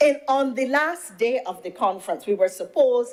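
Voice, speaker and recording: A woman speaks in a high pitch with an animated tone. Her pace is moderate. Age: 60s. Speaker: senator and government minister. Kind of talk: parliamentary speech. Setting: parliament chamber.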